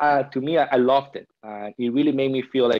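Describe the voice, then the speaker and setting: Words come from a man at a very fast pace. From Peru. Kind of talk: podcast interview answer.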